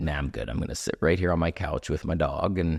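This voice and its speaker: A man's very deep, low voice with vocal fry, dry and close with no echo, on a very clean recording with a silent background. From Canada. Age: 40s. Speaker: entertainer and actor. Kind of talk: podcast interview.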